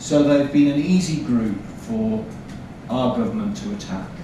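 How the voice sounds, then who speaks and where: In an English accent, a man talks at a fairly slow pace with a medium pitch and very wide pitch swings. There is audible room echo and noticeable background noise. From England. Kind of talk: conference lecture. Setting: seminar audience.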